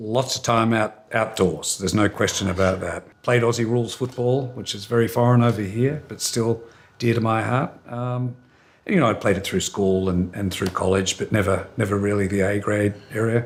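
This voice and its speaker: With an Australian accent, a man speaks at medium pitch and a moderate pace with fairly even intonation, in a very clean recording with a silent background. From Australia, Melbourne. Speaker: hotel company executive. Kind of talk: interview. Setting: sit-down interview near company headquarters.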